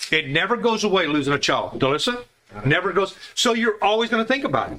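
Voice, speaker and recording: A man with a raised, projected voice speaks at a high pitch and a fairly quick pace, his pitch swinging very widely. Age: 70s. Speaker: Bible study teacher. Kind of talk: Bible study class discussion. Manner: halting, many repeated words.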